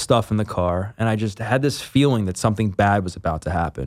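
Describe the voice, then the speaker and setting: Here a man uses an unremarkable speaking voice at a medium pitch. His pace is fairly quick, with ordinary pitch variation. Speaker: personal trainer and former addict. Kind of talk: interview testimony. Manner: casual, filler-heavy.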